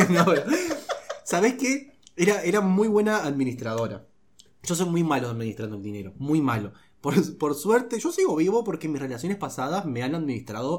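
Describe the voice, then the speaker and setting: This man's voice sits fairly high and sounds somewhat breathy. His pitch swings very widely. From Uruguay, Rivera (north, Brazil border). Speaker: comedy podcast host. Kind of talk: casual chat.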